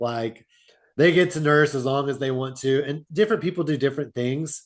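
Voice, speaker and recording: A man with a plain, everyday voice talks at a fairly high pitch and a moderate pace, his pitch moving in an ordinary way. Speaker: fatherhood mentor. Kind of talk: interview. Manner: casual, conversational.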